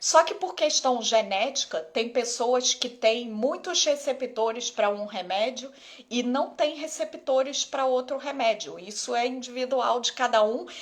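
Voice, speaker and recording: Speaking fairly slowly, this woman has a high-pitched voice. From Rio de Janeiro, Brazil. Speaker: ophthalmologist. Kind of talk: live Q&A stream. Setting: live stream on Instagram. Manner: casual, conversational.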